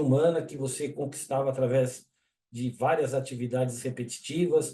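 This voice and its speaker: A man speaks at a moderate pace in a fairly high, somewhat breathy voice. His tone is dark and mellow, with fairly even intonation. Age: 60s. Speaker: engineer and webinar presenter. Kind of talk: webinar presentation. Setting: online webinar. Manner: casual, conversational.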